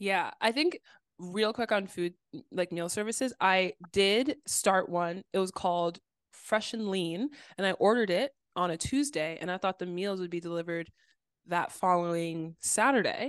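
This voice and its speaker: A woman with an ordinary speaking voice of medium pitch, moderate pace and ordinary pitch variation, in a dry, close sound with no echo against a quiet background. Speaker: podcast co-host. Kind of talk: casual chat.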